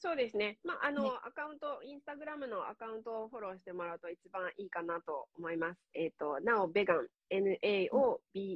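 A woman talks at a moderate pace and medium pitch with hardly any pauses. Her pitch swings very widely and her loudness shifts greatly. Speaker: online course instructor and Instagram coach. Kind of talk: casual interview. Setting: live stream.

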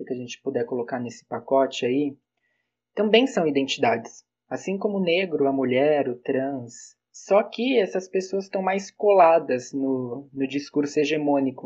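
This man has a plain, everyday voice, pitched fairly high for a man, with lively intonation. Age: 20s. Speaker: psychology student. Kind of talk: podcast panel discussion.

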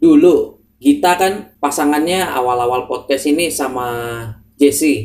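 A man with an ordinary speaking voice, fairly high in pitch, with ordinary pitch variation and a fairly slow pace. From Java, Indonesia. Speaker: student podcast co-host. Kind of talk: casual chat. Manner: calm.

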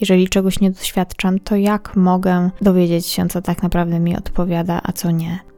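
Her voice has a dark, mellow tone at a medium pitch. The woman's intonation is monotone and flat. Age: 20s. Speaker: podcast host. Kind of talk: personal monologue.

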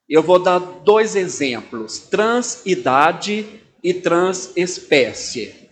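At a very slow pace, a man with a high pitch speaks with lively intonation. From Brazil, Belo Horizonte, Minas Gerais. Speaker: pastor. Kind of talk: talk to church audience.

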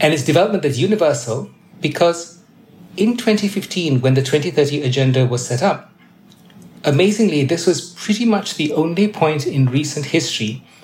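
Moderate pace from a man, fairly high in pitch, somewhat breathy, with lively intonation. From Malaysia. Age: 50s. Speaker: UN development official. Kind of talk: interview.

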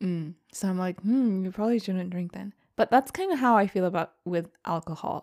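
A woman with a normal speaking voice, medium in pitch, with an American accent, ordinary pitch variation, and a very clean, dry, close recording with no echo against a silent background. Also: moderate pace. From United States. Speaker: podcast co-host. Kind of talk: casual chat.

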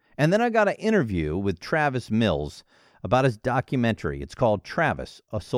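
Simple, plain reading aloud

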